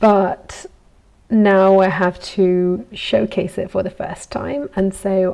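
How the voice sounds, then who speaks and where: The speaker has a relaxed tone and a slight Italian accent. Noticeable background noise sits behind the voice. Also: woman. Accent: good English accent, slightly Italian. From Italy. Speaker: goldsmith. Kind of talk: casual live vlog while working. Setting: workshop. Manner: relaxed, hesitant with fillers.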